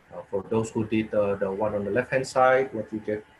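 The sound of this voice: Fairly low-pitched with a slightly husky edge, a man speaks fairly quickly with fairly even intonation.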